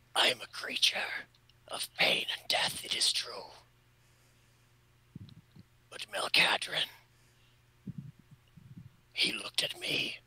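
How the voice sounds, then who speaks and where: Putting on a raspy character voice, a man pitches it extremely high. He goes at a fairly slow pace with long, frequent pauses. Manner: menacing, through gritted teeth.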